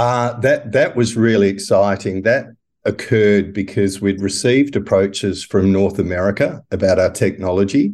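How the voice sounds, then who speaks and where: A man speaks at a moderate pace with fairly even intonation and a fairly low pitch. The background is quiet. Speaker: property tech company founder. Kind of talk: interview.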